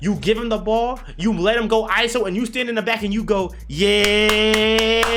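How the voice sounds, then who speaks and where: Over music in the background and audible room echo, a man with a high pitch talks in an animated tone with hardly any pauses. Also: moderate pace. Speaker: gaming streamer and basketball commentator. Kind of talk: casual video commentary rant. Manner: animated, profane; slightly halting, stuttering.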